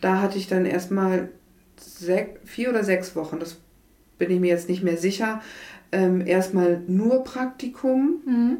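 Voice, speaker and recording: At a fairly slow pace, a woman talks in a medium pitch with ordinary pitch variation, in an unremarkable speaking voice. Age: 40s. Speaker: hospital admissions clerk, former nurse. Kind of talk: interview.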